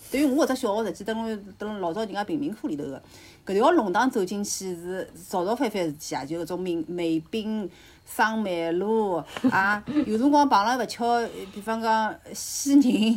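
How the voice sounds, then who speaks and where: A woman with a plain, everyday voice and a fairly high pitch. Her intonation is lively and her pace is moderate. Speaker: podcast guest. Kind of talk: casual chat.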